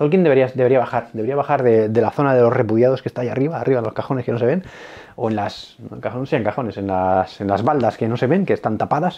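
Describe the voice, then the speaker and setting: A man rushes through his words at a very fast pace, his medium pitch moving with ordinary variation. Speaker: board game youtuber. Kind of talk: casual monologue. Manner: animated.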